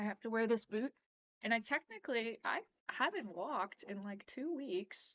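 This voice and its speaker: With a normal speaking voice, a woman talks at a moderate pace in a fairly high pitch, her intonation lively. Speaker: pinball streamer. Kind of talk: live stream reaction, casual chat. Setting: live stream at home computer. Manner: casual, filler-heavy.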